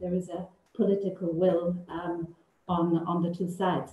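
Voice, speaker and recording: With audible room echo, a woman talks at a moderate pace and a medium pitch. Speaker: political researcher. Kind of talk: panel discussion. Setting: video call. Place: office. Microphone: video call.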